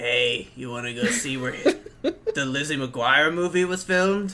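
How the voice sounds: Over light background noise, a man puts on a raspy character voice, fairly high in pitch, with lively intonation and a fairly slow pace.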